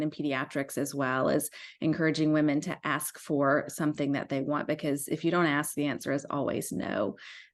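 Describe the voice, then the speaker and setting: A woman talks at a fairly quick pace in an American accent, with hardly any pauses. Her pitch is very deep and low, and the background is quiet. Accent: Southern US (Alabama), noticeable to some. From US South, South Alabama. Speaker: pediatrician and founder of a physicians' organization. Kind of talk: podcast interview.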